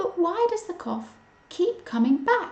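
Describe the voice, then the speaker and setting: Putting on a character voice, a woman speaks fairly slowly at an extremely high pitch with very wide pitch swings. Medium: read story.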